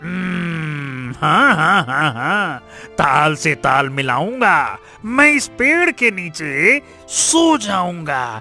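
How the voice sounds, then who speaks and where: With clear music in the background, a man uses a high, cartoonish character voice and speaks very slowly. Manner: rhyming catchphrase speech, stammering when scared.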